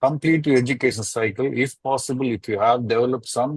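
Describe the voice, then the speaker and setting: Somewhat breathy, a man talks at a fairly quick pace and medium pitch with fairly even intonation. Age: 60s. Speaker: chemical engineering consultant. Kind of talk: webinar panel discussion. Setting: webinar.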